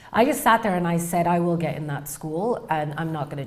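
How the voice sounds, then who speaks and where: The voice is somewhat breathy, with ordinary pitch variation and audible room echo. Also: woman. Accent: British. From England. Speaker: researcher, PhD candidate. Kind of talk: interview storytelling.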